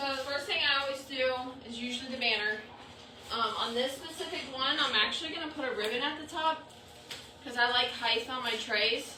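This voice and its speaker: Against noticeable background noise and audible room echo, a woman speaks at a moderate pace in a high pitch with ordinary pitch variation. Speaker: crafter running a subscription box. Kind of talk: live craft tutorial. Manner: casual, chatty.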